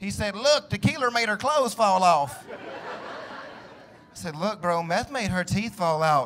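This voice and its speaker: A man with a Southern US accent and a high pitch talks at a fairly slow pace with lively intonation over light background noise. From US South. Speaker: stand-up comedian. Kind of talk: stand-up. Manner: animated. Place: stage. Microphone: handheld.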